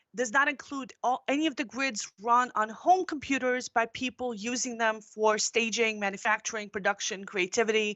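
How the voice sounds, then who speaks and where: A woman with a normal speaking voice speaks at a moderate pace and a fairly high pitch. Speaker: conference speaker, tech journalist. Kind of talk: conference presentation. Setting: virtual conference, live streamed.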